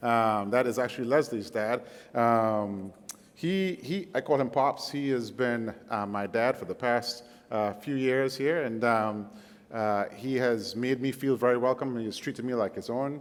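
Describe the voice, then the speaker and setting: With a Caribbean accent, a man speaks at a fairly slow pace. His pitch is medium, with ordinary variation. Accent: Caribbean accent, noticeable. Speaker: guest preacher. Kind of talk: sermon. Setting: church service. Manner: hesitant fillers, conversational.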